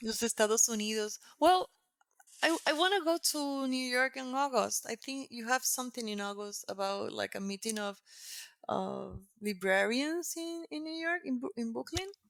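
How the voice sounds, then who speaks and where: A woman with a Puerto Rican accent speaks at a moderate pace and a high pitch, her pitch swinging very widely. The sound is dry and close with no echo. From Puerto Rico. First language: Spanish. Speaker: textile artist. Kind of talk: interview conversation. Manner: halting.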